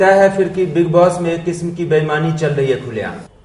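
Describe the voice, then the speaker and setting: Against noticeable background noise, a man speaks at a moderate pace and high pitch with ordinary pitch variation. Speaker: TV journalist and anchor. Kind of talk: TV interview questions.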